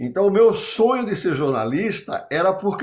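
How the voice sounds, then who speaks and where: Pitched high, a man talks at a fairly slow pace with lively intonation. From Brazilian Northeast. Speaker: business consultant and former executive. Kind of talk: interview storytelling.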